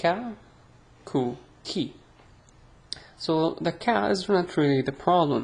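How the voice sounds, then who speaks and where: Vocal fry runs through this voice. The pitch varies in an ordinary way. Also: woman. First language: Arabic. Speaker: Arabic language teacher. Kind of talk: tutorial. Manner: casual, hesitant with fillers.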